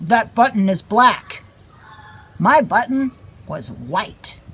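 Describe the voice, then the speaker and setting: A put-on character voice sits at a fairly high pitch. It moves at a very slow pace. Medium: read story. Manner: complaining, fussy.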